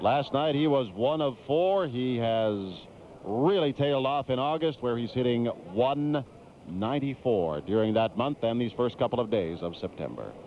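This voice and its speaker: At a moderate pace, a man with a medium pitch sounds energetic, his intonation lively. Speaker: sports play-by-play announcer. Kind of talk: baseball play-by-play. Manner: energetic, polished.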